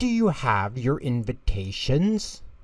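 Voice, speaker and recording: A man's put-on character voice at medium pitch, fairly slow, with very wide pitch swings. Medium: read story. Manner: stern.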